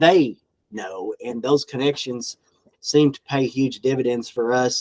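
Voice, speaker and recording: Heard dry and close with no echo, a man with a Southern US accent talks at a medium pitch with fairly even intonation. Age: 50s. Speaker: farm equipment dealership owner. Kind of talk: podcast interview answer.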